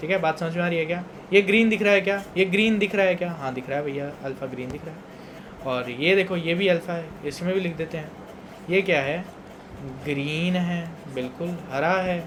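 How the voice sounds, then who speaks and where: At a moderate pace, a man talks in a high voice with ordinary pitch variation. Audible room echo and noticeable background noise fill the recording. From Punjab, India. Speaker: teacher. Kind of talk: lecture. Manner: conversational, repetitive check-ins.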